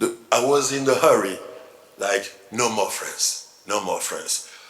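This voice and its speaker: A man speaks very slowly with a French accent. Noticeable background noise and audible room echo are present. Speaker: novelist. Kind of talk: panel discussion at literary festival. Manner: halting, repeats words.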